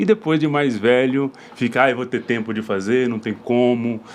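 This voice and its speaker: The clip has an ordinary speaking voice, delivered at a moderate pace with ordinary pitch variation. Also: man. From rural Brazil. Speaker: podcast host. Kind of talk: podcast interview.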